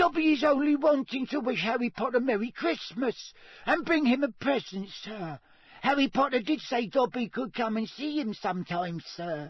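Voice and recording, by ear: A man's put-on character voice, extremely high and squeaky with a slightly husky edge, lively intonation and moderate pace.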